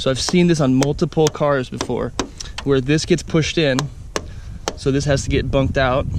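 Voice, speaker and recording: Against noticeable background noise, a man with a fairly high pitch speaks with fairly even intonation and long, frequent pauses. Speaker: car dealer doing vehicle walk-around. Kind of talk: video walk-around demonstration. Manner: fast; casual.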